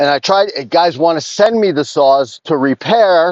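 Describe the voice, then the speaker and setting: Heard with a dry, close sound and no echo, a man speaks at a moderate pace with ordinary pitch variation. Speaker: chainsaw dealer and repairer. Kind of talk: casual talk to camera while working. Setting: outdoors in the woods.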